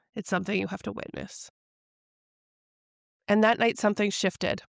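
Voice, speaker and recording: A woman speaks at a medium pitch with vocal fry. The sound is dry and close with no echo, and the recording is very clean over a silent background. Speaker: somatic practitioner and intuitive coach. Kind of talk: podcast monologue.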